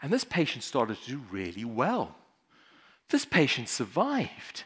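Someone with a South African accent speaks at a moderate pace against a quiet background. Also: man. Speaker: emergency physician; conference speaker. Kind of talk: conference talk. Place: hall. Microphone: headset.

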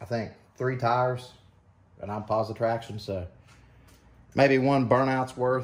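A man speaks at a fairly slow pace with fairly even intonation. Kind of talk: casual vlog chat. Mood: relaxed, joking. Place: garage. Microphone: camera far.

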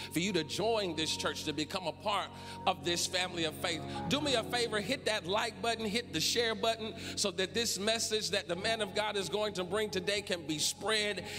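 A man speaks in a raised, projected voice. Clear music plays in the background. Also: ordinary pitch variation, moderate pace. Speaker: church service host. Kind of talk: worship welcome and announcements. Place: church. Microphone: handheld.

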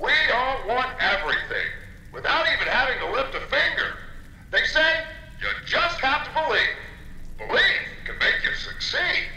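Amid audible room echo, a man in a put-on character voice speaks with an extremely high pitch, big pitch swings and a bright, sharp tone. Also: moderate pace.

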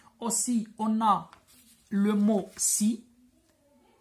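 A woman speaks in a somewhat breathy voice with a Moroccan accent. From Morocco. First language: Moroccan Arabic (speaking French). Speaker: French grammar teacher. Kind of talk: lecture. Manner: code-switching Darija and French. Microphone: phone near.

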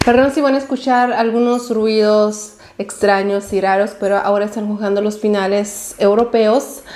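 A woman's medium pitch, slightly mellow tone, fairly even intonation and moderate pace

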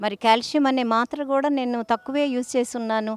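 In a plain, everyday voice, a woman speaks with fairly even intonation in a dry, close sound with no echo. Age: 60s. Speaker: doctor. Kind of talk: health advice talk.

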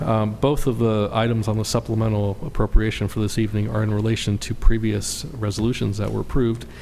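Over noticeable background noise, a man speaks at a very fast pace with hardly any pauses, in a fairly low, monotone, flat voice. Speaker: city staff member giving reports. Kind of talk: formal council report.

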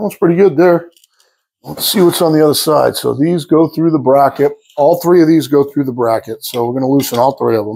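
Dark and mellow in tone, a man's voice moves at a fairly quick pace with ordinary pitch variation. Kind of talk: tutorial. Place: workshop. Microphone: lapel.

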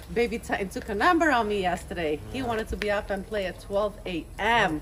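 Over light background noise, a woman speaks at a fairly quick pace in a Romanian accent. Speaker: vlogger. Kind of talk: casual vlog chat. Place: garden. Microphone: phone near.

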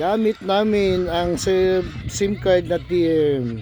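There is noticeable background noise behind this man. His pitch is high, with ordinary variation. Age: old. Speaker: vlogger. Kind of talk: casual vlog. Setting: bedroom at home.

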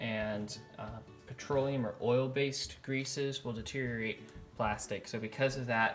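A man at a fairly slow pace with monotone, flat intonation, over faint music in the background. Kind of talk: tutorial. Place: workshop. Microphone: phone near.

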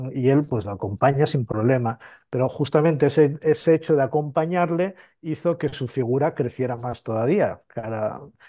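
A man with a normal speaking voice, fairly high in pitch, with ordinary pitch variation and a moderate pace. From Spain, Asturias (mining town). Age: 50s. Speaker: priest and theologian. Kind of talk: interview. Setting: on location at an abbey in Italy.

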